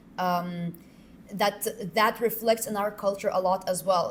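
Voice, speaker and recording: This woman speaks at a medium pitch with fairly even intonation. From Lithuania. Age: 20s. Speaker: exchange student. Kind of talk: podcast interview. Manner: halting, many fillers.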